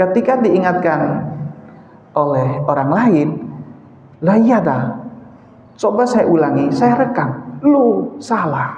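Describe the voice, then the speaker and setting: The speaker goes at a very slow pace with long, frequent pauses, very wide pitch swings and very even loudness, amid noticeable background noise and audible room echo. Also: man, high pitch for a man. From eastern Indonesia. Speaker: mosque preacher. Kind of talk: sermon. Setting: mosque.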